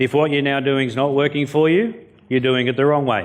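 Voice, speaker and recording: Audible room echo and clearly present background noise surround a man as he talks. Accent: Australian. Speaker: motivational keynote speaker. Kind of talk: keynote speech. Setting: stage with audience. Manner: animated.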